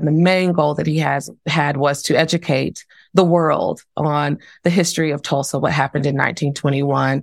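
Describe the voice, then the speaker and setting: On a very clean recording with a silent background, a woman with an American accent speaks at a moderate pace in a very deep, low pitch, her intonation monotone and flat and her voice showing vocal fry. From Texas, Dallas. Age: 40s. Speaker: diversity and leadership consultant. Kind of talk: interview conversation.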